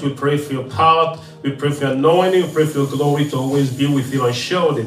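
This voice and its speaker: A man speaks fairly quickly amid audible room echo and music in the background. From Nigeria. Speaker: evangelist. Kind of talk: prayer and offering announcements.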